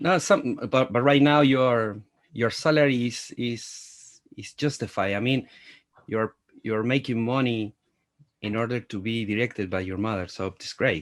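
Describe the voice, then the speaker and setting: In a very clean recording with a silent background, a man with a Spanish accent speaks at medium pitch and a fairly slow pace. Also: ordinary pitch variation. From Latin America. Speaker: film journalist. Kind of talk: interview. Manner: halting.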